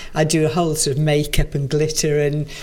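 A woman's very deep, low-pitched voice at a fairly quick pace, with noticeable background noise. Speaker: poetry reader and performance poet. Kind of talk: reading a poem aloud and conversation about it. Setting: library.

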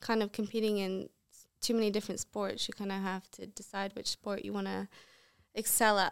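Heard on a very clean recording with a silent background, a woman speaks in a fairly high voice. Her intonation is monotone and flat, and the sound is dry and close with no echo. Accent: American. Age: 20s. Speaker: professional golfer. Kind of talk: casual chat. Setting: studio.

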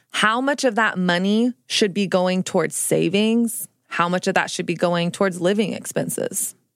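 A woman speaks in a plain, everyday voice at a medium pitch and a moderate pace. Her pitch varies in an ordinary way, and her loudness stays very even. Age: 30s. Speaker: podcast host. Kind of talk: interview. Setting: studio.

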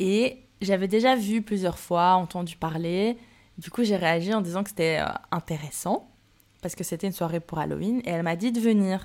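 A woman speaks in a normal speaking voice at medium pitch and a moderate pace, with ordinary pitch variation, in a very clean recording with a silent background. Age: 20s. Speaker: solo podcaster. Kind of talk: personal monologue. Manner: casual; laughs often.

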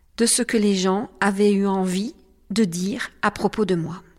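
Recorded very cleanly over a silent background, a woman of medium pitch talks at a very slow pace with ordinary pitch variation. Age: 50s. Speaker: life coach and podcast host. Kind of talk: personal monologue podcast.

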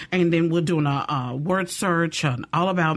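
Her pitch fairly low for a woman, she has an unremarkable speaking voice with ordinary pitch variation. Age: 50s. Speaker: education outreach staff. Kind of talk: interview.

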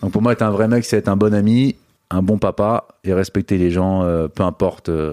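A dark, mellow tone comes through at a moderate pace with fairly even intonation, in a very clean, dry, close recording with a silent background and no echo. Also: man. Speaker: Instagram comedian. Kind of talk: casual interview.

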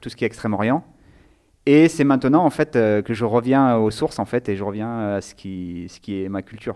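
Against a silent background in a very clean recording, a man with a medium-pitched, dark, mellow voice speaks at a moderate pace with ordinary pitch variation and big swings in loudness. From Nice, southern France. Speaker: theology student. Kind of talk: interview. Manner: halting.

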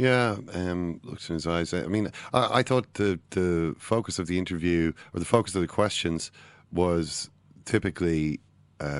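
A man's very deep, low voice in an Irish accent, at a moderate pace with ordinary pitch variation, over a quiet background. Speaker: football podcast co-host. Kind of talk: casual chat. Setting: studio.

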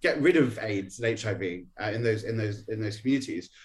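The speech moves at a very fast pace and sounds somewhat breathy. Pitch varies in an ordinary way. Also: man. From Norwich, England. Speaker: HIV activist. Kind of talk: radio interview.

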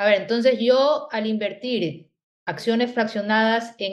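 With an unremarkable speaking voice, a woman talks at a fairly slow pace and fairly high pitch, using ordinary pitch variation. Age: 40s. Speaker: podcast host. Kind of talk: interview.

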